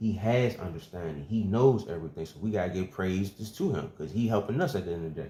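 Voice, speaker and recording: The man's voice is fairly low, somewhat breathy and dark, mellow in tone. He moves at a fairly quick pace with lively intonation. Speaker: religious teacher. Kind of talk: bible teaching. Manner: fast.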